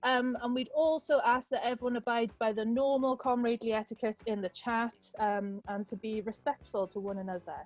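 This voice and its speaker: Over music in the background, a woman with a fairly high pitch talks at a fairly quick pace with hardly any pauses and ordinary pitch variation. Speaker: rally host. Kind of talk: event hosting. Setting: video call. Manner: casual, upbeat.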